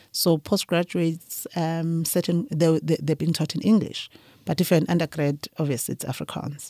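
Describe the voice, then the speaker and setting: A woman's fairly low, dark, mellow voice at a moderate pace, with fairly even intonation and a dry, close sound with no echo. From KwaZulu-Natal, South Africa. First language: Zulu. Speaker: winemaker. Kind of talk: interview conversation.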